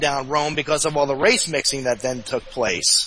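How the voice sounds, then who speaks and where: Noticeable background noise is present. The man's delivery is moderately paced. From New Jersey. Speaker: guest, website host. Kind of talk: podcast interview discussion. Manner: halting, stuttering.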